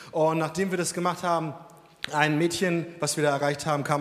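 A man with a high voice talks fairly quickly, noticeable background noise audible beneath him. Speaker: Sunday school worker. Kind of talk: testimony. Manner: casual.

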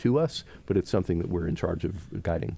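Very deep and low with a dark, mellow tone, a man's voice with an American accent moves at a moderate pace in a very clean recording with a silent background. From Pittsburgh, Pennsylvania. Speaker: business executive and economic development board chairman. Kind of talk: interview. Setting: studio. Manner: frequent filler words and hesitations.

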